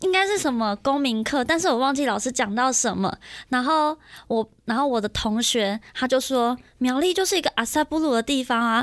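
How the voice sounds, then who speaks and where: With a Taiwanese accent, a woman speaks at a high pitch with lively intonation and very even loudness. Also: moderate pace. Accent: Taiwanese Mandarin. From Miaoli, Taiwan. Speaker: podcast host. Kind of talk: casual chat. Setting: studio.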